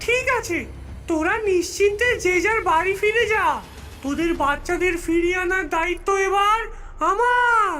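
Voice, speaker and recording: A female-sounding, cartoonish character voice at an extremely high pitch, theatrical in tone and fairly slow, over clear background noise. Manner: cackling, theatrical.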